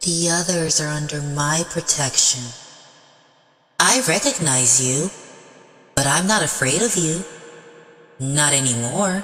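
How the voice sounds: A man speaks in a put-on character voice with a fairly high pitch. His pace is fairly slow, with long, frequent pauses and a slight echo.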